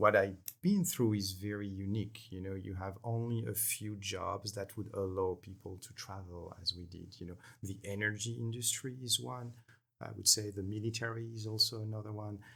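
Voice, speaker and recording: At a moderate pace, a man with a French accent and a fairly low pitch speaks with fairly even intonation and big swings in loudness. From France. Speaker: energy company executive. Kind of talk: podcast interview.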